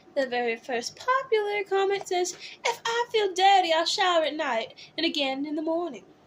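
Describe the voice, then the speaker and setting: Against noticeable background noise, a woman with an American accent speaks at a moderate pace in an extremely high pitch with very wide pitch swings. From California. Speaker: drag performer, YouTuber. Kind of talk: reading aloud with commentary. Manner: animated, camp.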